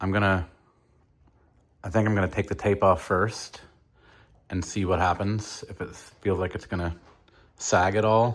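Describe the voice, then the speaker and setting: Fairly low in pitch, a man speaks in a monotone, flat intonation at a moderate pace with long, frequent pauses, in a very clean recording with a silent background. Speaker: car DIY vlogger. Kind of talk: tutorial. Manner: halting, many fillers; casual.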